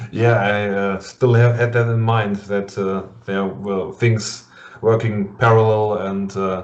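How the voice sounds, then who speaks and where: Speaking with a German accent, a man delivers his words at a very slow pace. His fairly low voice stays monotone and flat in intonation. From Germany. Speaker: metal interviewer. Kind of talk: casual interview. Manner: halting.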